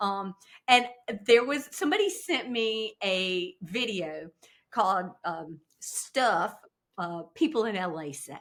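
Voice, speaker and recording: With a Southern US accent, a woman at medium pitch speaks very slowly with lively intonation, big swings in loudness, and long, frequent pauses. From US South, upstate South Carolina. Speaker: actress and comedy creator. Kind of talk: podcast interview. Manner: hesitant fillers, um and uh.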